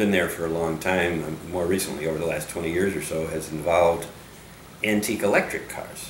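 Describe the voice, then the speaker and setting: A man with an American accent speaks fairly quickly at a very deep, low pitch. Noticeable background noise runs underneath. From Connecticut, USA. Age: 70s. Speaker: engineer. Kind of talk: audition video talk to camera. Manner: enthusiastic.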